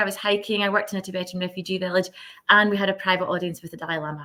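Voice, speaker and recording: A woman with a Scottish accent speaks at a very fast pace. Her medium-pitched voice has a bright, sharp tone. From west of Scotland. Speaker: social impact leader. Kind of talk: podcast interview.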